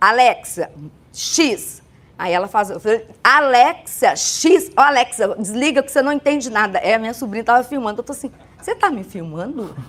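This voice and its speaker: A woman's high pitch, with very wide pitch swings and big swings in loudness. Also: moderate pace. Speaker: church women's speaker. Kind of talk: casual chat.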